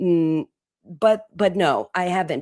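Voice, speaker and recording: In an Italian accent, a woman speaks with a fairly low pitch. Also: very clean recording, silent background. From Italy. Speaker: podcast host. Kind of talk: interview answers, personal reflection. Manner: halting, with repeated words and fillers.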